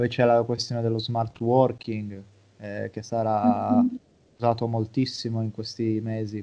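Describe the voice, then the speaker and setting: The voice has a dark, mellow tone and flat, monotone intonation, delivered at a fairly slow pace. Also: man, medium pitch for a man. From Italy. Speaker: psychologist and sports mental coach. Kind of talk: interview.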